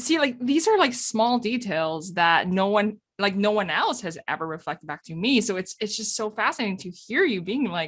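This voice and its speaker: A fairly high-pitched woman with a slight non-native accent, lively intonation, a moderate pace and hardly any pauses. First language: not English. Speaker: podcast host. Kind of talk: casual chat. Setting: podcast recording. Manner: animated.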